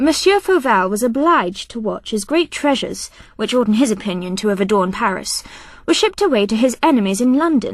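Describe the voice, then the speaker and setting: A woman doing a put-on character voice speaks breathily at a fairly high pitch and a fairly quick pace, with very wide pitch swings. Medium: read story. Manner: haughty, airy, disdainful.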